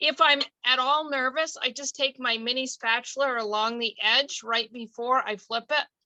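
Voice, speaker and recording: Raised and projected, a woman's bright, sharp voice at a high pitch moves at a fairly slow pace with ordinary pitch variation, in a dry, close sound with no echo. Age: 60s. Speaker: longtime customer. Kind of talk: casual chat.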